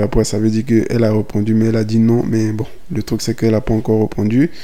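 At a very fast pace, a man talks in a medium pitch. His intonation is monotone and flat, with noticeable background noise. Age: 20s. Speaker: podcaster. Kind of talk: casual monologue. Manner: casual, hesitant.

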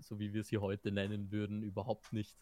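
A man talks at a moderate pace in an unremarkable speaking voice, fairly low in pitch. The sound is dry and close, with no echo. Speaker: podcast co-host. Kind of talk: casual chat.

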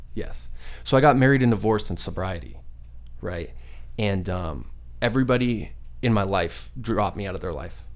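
With an American accent, a man speaks at a very deep, low pitch with vocal fry and very wide pitch swings. His moderate pace holds long, frequent pauses, and audible room echo is present. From Arizona, Phoenix area. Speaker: musician and school speaker. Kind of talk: casual interview.

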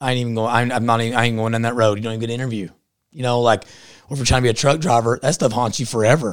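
In an Appalachian accent, a man of medium pitch talks at a very fast pace with fairly even intonation on a very clean recording with a silent background. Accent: Appalachian Southern US. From southeastern Kentucky. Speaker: podcaster and political activist. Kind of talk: casual interview chat. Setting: studio in-person. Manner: fast talker.

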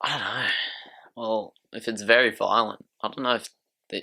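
A man with an Australian accent speaks in a fairly low pitch, his bright, sharp tone held to a flat, monotone intonation. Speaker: podcast co-host. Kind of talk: casual chat.

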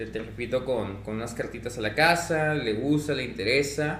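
A man at a fairly high pitch and fairly slow pace with ordinary pitch variation, in audible room echo. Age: 30s. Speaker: card shop owner. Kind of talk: casual chat.

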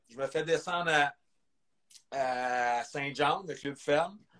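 A man speaks with a Quebec accent at a fairly high pitch. His intonation stays fairly even. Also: long, frequent pauses. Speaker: former pro hockey player. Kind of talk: interview. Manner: halting.

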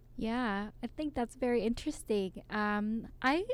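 A woman with a plain, everyday voice, ordinary pitch variation and a fairly slow pace. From South Korea, then Canada. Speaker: podcast co-host. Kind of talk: casual chat.

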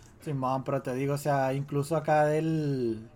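The recording is very clean with a silent background. A man with a fairly high pitch and fairly even intonation has an ordinary speaking voice. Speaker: podcast co-host. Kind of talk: casual chat.

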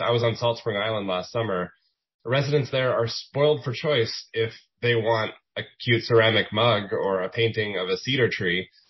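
With an ordinary speaking voice, a man talks at a medium pitch and ordinary pitch variation. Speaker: journalist moderator. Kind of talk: moderated panel discussion.

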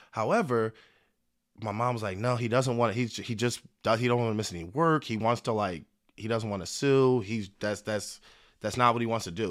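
A man with an American accent and a plain, everyday voice talks at a moderate pace and medium pitch with ordinary pitch variation, in a very clean recording with a silent background. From Philadelphia. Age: 30s. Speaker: attorney. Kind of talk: casual chat.

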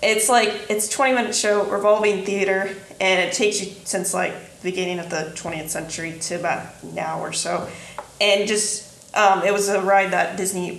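In a Midwestern US accent, a woman at medium pitch talks at a moderate pace with fairly even intonation, with audible room echo and noticeable background noise. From southeastern Indiana. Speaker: podcast co-host. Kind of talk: casual chat.

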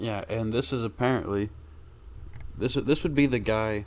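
A man talks at a moderate pace. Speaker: podcast co-host. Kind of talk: casual chat. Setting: home recording with USB mic. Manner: loud.

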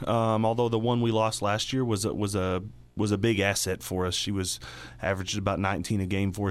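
A man with a Texas accent talks at a fairly quick pace, his fairly low pitch held in fairly even intonation. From Texas Panhandle, Dumas. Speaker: high school basketball coach. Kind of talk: radio interview. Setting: studio.

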